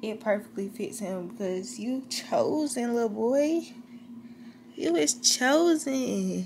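A woman's very slow, lively-intoned speech, high-pitched, over light background noise. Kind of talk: casual vlog chat. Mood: tender, emotional, reflective. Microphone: phone near.

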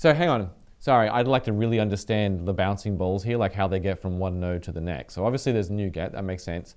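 This man talks at a very fast pace with a fairly low pitch and ordinary pitch variation. The background is quiet. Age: 40s. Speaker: developer community show host. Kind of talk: casual chat. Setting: studio. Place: home room. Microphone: headset.

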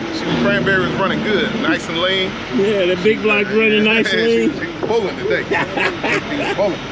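A man talking fairly quickly with hardly any pauses, loud background noise behind him. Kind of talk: casual vlog chat. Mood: joking, laughing. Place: street. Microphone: phone near.

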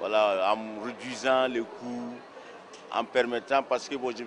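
A man speaks with a fairly bright tone. Faint background noise sits behind him.

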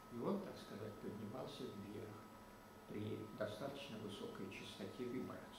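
At a moderate pace, a man talks in a space with audible room echo and noticeable background noise. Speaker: mechanics professor. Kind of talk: lecture. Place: hall. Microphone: camera far.

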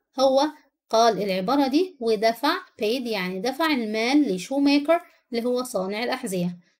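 With an Egyptian accent, a woman talks in a high pitch and lively intonation. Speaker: English teacher. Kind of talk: tutorial; storytelling: reads the English story aloud, then translates each line into Arabic. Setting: online video lesson. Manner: slow, clear, teacherly, pausing between English lines and Arabic explanations.

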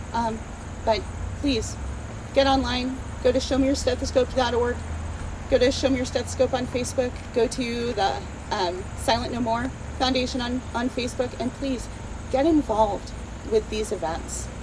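Noticeable background noise sits behind a woman with a high pitch. She talks at a fairly slow pace with long, frequent pauses. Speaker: nurse and advocate, rally speaker. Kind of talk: rally speech. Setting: outdoor rally with audience. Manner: animated; emphatic, passionate, scolding. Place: open country.

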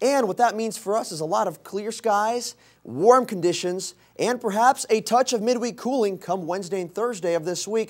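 The man's voice sits high, with ordinary pitch variation. Nothing disturbs the quiet background. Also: moderate pace. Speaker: meteorologist. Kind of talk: TV weather forecast. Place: studio.

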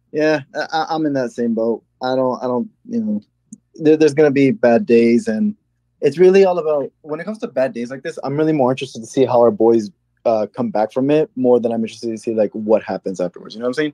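Over a quiet background, a man talks at a very fast pace with lively intonation and a dry sound with no echo. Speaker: caller. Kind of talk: casual call-in chat. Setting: voice call over Discord. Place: home room. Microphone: studio mic.

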